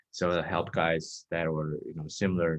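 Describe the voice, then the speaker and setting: A man speaks at a moderate pace in a very deep, low voice, his intonation flat and monotone. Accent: Chinese. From Texas. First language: Chinese. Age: 20s. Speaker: dating coach. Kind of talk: interview.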